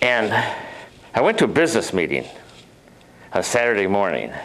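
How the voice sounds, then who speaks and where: A man speaks with vocal fry. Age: 70s. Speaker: professional speaker. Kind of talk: personal anecdote talk. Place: meeting room.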